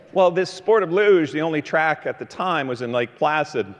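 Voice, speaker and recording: Moderately paced speech from a man amid noticeable background noise. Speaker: motivational keynote speaker. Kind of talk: motivational keynote storytelling. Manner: high-energy.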